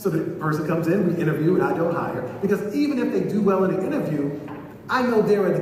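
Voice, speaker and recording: An animated speaker with an American accent talks at a fairly quick pace with ordinary pitch variation. Noticeable background noise and audible room echo surround the voice. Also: man. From New York City (Bronx, Queens). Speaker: diversity trainer, psychologist. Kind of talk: workshop lecture. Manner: animated, conversational.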